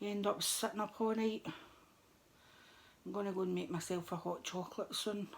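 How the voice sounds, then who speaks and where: A woman's quiet, relaxed voice at medium pitch, fairly quick but with long, frequent pauses and fairly even intonation. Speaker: crafting vlogger. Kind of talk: craft tutorial chat. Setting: at home, middle of the night.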